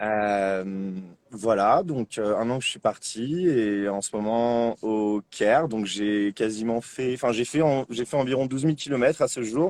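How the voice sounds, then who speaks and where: Fairly slow pace and ordinary pitch variation in a dry, close sound with no echo. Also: man, medium pitch for a man. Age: 20s. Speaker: bicycle traveller. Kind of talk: interview. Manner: hesitant, many fillers.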